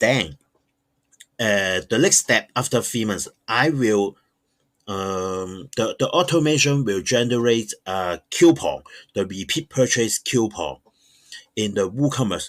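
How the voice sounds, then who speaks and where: A man's medium-pitched voice with a non-native accent and lively intonation, very slow with long, frequent pauses, in a dry, close sound with no echo and a very clean recording with a silent background. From Hong Kong. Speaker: online shop owner. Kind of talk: tutorial. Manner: halting, many fillers.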